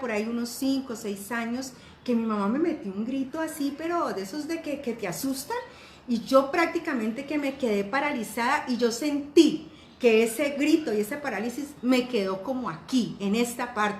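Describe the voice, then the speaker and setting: A woman with a high pitch talks at a moderate pace with ordinary pitch variation. Audible room echo and noticeable background noise surround her voice. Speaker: life coach. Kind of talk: online class.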